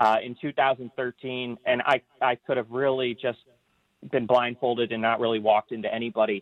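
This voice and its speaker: A man speaks at a moderate pace with a Michigan accent, medium pitch, and a monotone, flat intonation. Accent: US Midwest (Michigan). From Michigan, Ann Arbor. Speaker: tour program manager. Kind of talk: interview. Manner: halting, many fillers.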